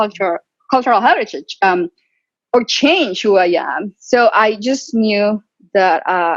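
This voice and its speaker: At a fairly slow pace, a woman with a fairly high pitch speaks in a dry, close sound with no echo. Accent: Latin American. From Colombia. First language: Spanish. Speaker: physician and tech entrepreneur. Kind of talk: webinar interview. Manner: loud; animated.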